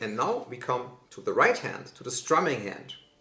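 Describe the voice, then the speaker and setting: Amid noticeable background noise and audible room echo, a man speaks at a moderate pace with a slight German accent. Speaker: guitar teacher. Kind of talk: tutorial.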